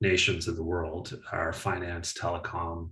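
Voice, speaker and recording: A man with an Atlantic Canadian accent and a very deep, low pitch. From Atlantic Canada (east coast). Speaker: climate policy analyst. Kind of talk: webinar panel discussion.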